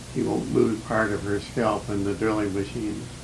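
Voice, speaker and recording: A man speaks at a fairly slow pace in a fairly low pitch. His pitch varies in an ordinary way, with noticeable background noise. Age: 80s+. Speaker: former wartime factory employee and film director. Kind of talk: documentary film voiceover commentary. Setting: old low-quality recording.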